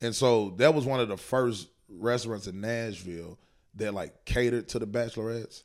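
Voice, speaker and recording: In a plain, everyday voice, a man of medium pitch talks at a moderate pace with fairly even intonation. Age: 30s. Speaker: stand-up comedian. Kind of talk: casual chat.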